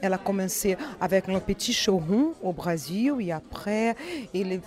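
Fairly slow speech from a woman at a medium pitch, ordinary pitch variation, noticeable background noise. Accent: Brazilian. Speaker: fashion brand representative. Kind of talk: interview. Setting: fashion trade show in Paris. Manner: halting, with many repetitions and fillers.

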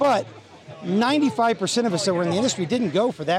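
A man talks at a fairly quick pace in a Texan accent. There is noticeable background noise. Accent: Texan American. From Texas. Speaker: event organizer, former football coach. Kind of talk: interview. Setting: outdoors at golf event.

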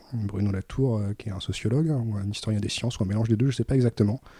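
Recorded very cleanly against a silent background, a man's somewhat breathy voice has a dark, mellow tone and a dry, close sound with no echo. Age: 30s. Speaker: librarian. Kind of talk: casual chat. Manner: halting.

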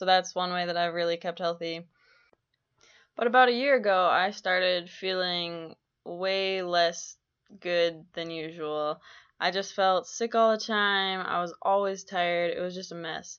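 A woman with an American accent, an ordinary speaking voice, medium pitch, fairly even intonation and a fairly slow pace. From Minnesota, Twin Cities. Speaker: college basketball player and podcaster. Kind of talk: personal monologue podcast. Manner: casual, many filler ums.

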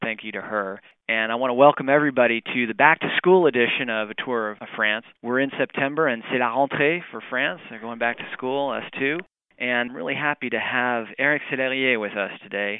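At a fairly quick pace, a man talks in a normal speaking voice at a medium pitch with ordinary pitch variation. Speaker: podcast host. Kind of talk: interview.

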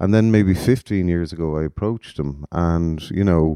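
In an Irish accent, a man speaks with a very deep, low pitch, a dark, mellow tone and ordinary pitch variation against a quiet background. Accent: Irish (Galway). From Galway, Ireland. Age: 40s. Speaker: music promoter. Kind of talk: interview.

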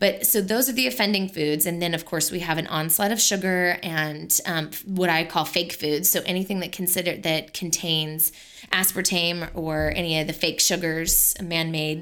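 An ordinary speaking voice from a woman, fairly low in pitch, with fairly even intonation, very even loudness and a moderate pace. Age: 30s. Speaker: nutritional therapist and podcast co-host. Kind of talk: casual chat with health advice.

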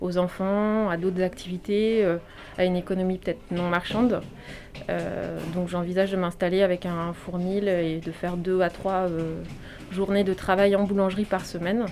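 At a fairly slow pace, a woman talks with monotone, flat intonation. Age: 30s. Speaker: former journalist retraining as baker. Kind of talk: interview testimony.

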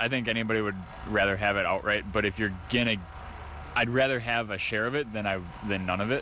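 A man with fairly low pitch and a bright, sharp tone talks at a very fast pace. His intonation is fairly even, broken by long, frequent pauses. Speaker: race driver, late model champion. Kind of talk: post-race interview.

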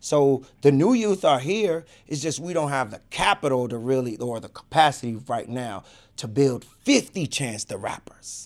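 A man with a plain, everyday voice and an American accent talks at a moderate pace, fairly high in pitch, with lively intonation and big swings in loudness. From Chicago. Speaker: hip hop artist and youth mentor. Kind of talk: casual interview. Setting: studio.

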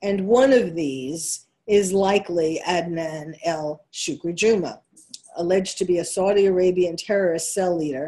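A woman's fairly low voice in a New York accent. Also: ordinary pitch variation, moderate pace. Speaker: psychiatrist and radio host. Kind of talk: opinionated talk radio monologue. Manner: halting, many fillers.

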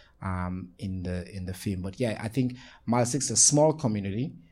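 In a very clean recording with a silent background, a man speaks at a fairly low pitch with a dark, mellow, somewhat breathy tone and ordinary pitch variation. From Sierra Leone. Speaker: nonprofit founder and advocate. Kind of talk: panel discussion. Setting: live panel with audience.

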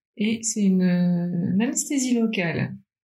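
A woman with a medium pitch and a somewhat breathy voice speaks at a fairly slow pace, her pitch varying in an ordinary way. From Paris, France. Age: 30s. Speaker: cancer survivor. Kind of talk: testimony.

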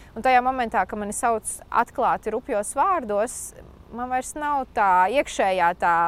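This woman has a plain, everyday voice. Her pitch is fairly high and her intonation lively. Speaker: doctor and health communicator on social media. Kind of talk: interview.

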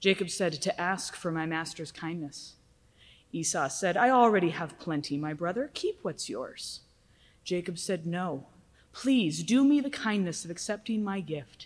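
In a normal speaking voice with fairly low pitch, a woman talks at a fairly slow pace with lively intonation, on a very clean recording with a silent background. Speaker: scripture reader. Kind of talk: reading aloud. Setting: church.

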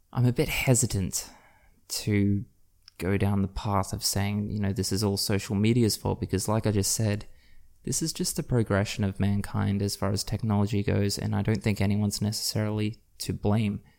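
A man with an Australian accent speaks at a fairly low pitch in a dark, mellow tone. His intonation is fairly even, and the recording is very clean with a silent background. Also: moderate pace. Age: 20s. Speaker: podcast host. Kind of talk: solo podcast monologue. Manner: casual, with frequent fillers.

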